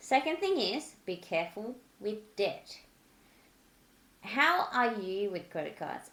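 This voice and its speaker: Very wide swings mark the pitch of this voice. The woman has a non-native accent. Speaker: personal finance YouTuber. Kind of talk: casual advice talk.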